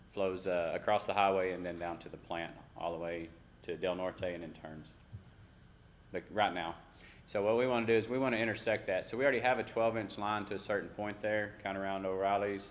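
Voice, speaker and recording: Audible room echo follows a man with an American accent who talks at a fairly quick pace with fairly even intonation. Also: fairly low pitch for a man. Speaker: city staff presenting infrastructure projects. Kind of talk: council meeting presentation. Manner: fast.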